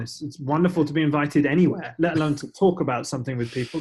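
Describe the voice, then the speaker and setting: Noticeable background noise sits behind a man speaking very fast. His pitch is fairly high for a man, with ordinary variation. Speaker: tech company evangelist and podcast host. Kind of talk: podcast interview.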